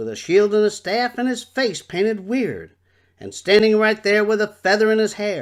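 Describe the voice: Plain reading aloud, nothing more.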